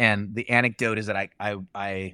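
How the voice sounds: A bright, sharp tone that is also clear and smooth, with little pitch movement and a dry, close sound with no echo. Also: man.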